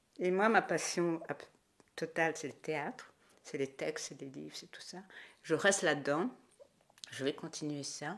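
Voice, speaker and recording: On a very clean recording with a silent background, a woman talks with lively intonation. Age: 60s. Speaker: Burundian diaspora member, theatre enthusiast. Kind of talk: interview.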